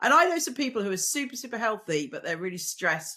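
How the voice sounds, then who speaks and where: A woman's bright, sharp voice at a fairly quick pace, with very wide pitch swings, on a very clean recording with a silent background. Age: 60s. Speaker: reproductive scientist. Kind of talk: interview conversation.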